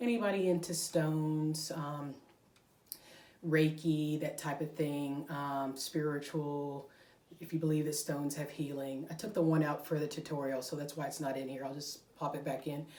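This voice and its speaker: With audible room echo, a woman speaks at a very deep, low pitch, at a moderate pace with fairly even intonation. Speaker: crochet podcaster. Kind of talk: casual chat. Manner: rambling, taking breaths.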